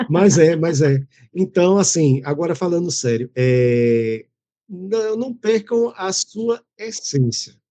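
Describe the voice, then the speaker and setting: A man speaks very slowly, his high voice dark and mellow in tone, with very wide pitch swings. The sound is dry and close, with no echo. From Pernambuco, Brazil. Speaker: journalist. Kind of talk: casual chat.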